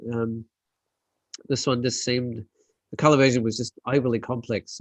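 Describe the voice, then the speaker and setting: A man with an Australian accent talks very fast in a dry, close sound with no echo. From South Australia. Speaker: landscape photographer. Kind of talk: casual chat. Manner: hesitant, many fillers.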